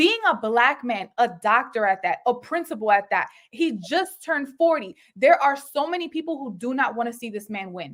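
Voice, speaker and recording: A woman talks in an animated tone at a high pitch, with very wide pitch swings. Her pace is moderate and she hardly pauses. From Puerto Rican background. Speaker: married guest, mother and wife. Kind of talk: talk show interview. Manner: animated, emphatic.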